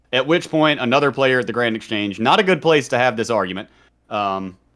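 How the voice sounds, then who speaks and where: On a very clean recording with a silent background, a man with a Southern US accent talks at a very fast pace. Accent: mild Southern. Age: 30s. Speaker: streamer and former prisoner. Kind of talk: podcast interview storytelling. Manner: casual, conversational.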